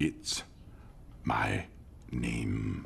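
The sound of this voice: Over clear background noise, a man uses a put-on character voice with a very deep, low pitch.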